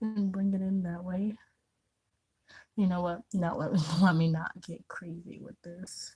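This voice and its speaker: A woman speaks quietly in a monotone, flat voice that is dark, mellow and somewhat breathy, with long, frequent pauses. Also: medium pitch for a woman, fairly slow pace, big swings in loudness. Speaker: beauty vlogger. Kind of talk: makeup tutorial chat. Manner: quiet, concentrating.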